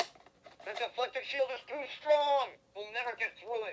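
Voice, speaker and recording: A female-sounding, whiny, put-on character voice talks at a moderate pace with a high pitch and ordinary pitch variation. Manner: whining.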